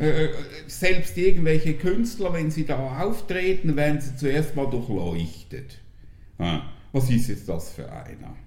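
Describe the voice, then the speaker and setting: The speech comes at a very slow pace with big swings in loudness and audible room echo. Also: man, fairly high pitch for a man. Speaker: podcast guest. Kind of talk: casual chat.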